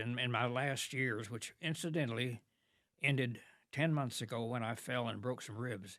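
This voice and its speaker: On a very clean recording with a silent background, a man speaks at a medium pitch and moderate pace, his tone bright and sharp, with ordinary pitch variation. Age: 90s. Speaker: retired long-distance cyclist. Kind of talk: podcast interview answer.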